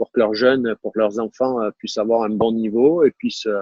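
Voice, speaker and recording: A man with a southern French accent. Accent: southern French accent, noticeable. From southern France, Var (Toulon area). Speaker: tennis coach, former pro player. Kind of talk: interview conversation. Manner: hesitant, many fillers and repetitions.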